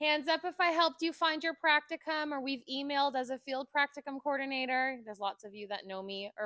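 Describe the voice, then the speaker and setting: A woman's raised, projected, high-pitched voice with a bright, sharp tone, lively intonation, and big swings in loudness, very fast with hardly any pauses, in a dry, close sound with no echo. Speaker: college instructor. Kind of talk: short address to audience. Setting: room with live audience.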